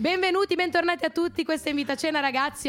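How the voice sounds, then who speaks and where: A woman speaking at a very fast pace. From Genoa, Italy. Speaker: student radio host. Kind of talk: casual chat; scripted show intro.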